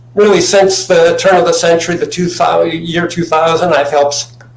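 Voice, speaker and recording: Fairly high pitch from a man at a moderate pace, with noticeable background noise and audible room echo. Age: 70s. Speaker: chemist and natural health advocate. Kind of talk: interview. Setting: video call from home. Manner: halting, repeats words. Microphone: laptop mic.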